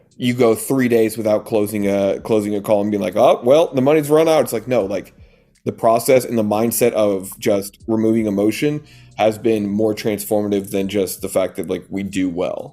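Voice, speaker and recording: Music plays in the background as a man talks at a moderate pace. His pitch is fairly low, with ordinary variation. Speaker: coaching business owner. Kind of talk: interview.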